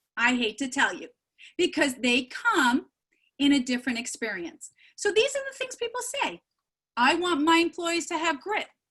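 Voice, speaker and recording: Raised and projected, a woman's high-pitched voice has a bright, sharp tone and very wide pitch swings at a moderate pace. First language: not English. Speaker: keynote speaker. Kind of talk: keynote speech. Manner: animated.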